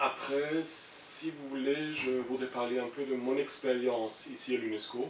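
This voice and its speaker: Over noticeable background noise, a man with a German accent speaks very slowly at a medium pitch in a flat, monotone way. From Germany. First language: German (speaking French). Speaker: international civil servant. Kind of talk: interview. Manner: halting, many hesitations.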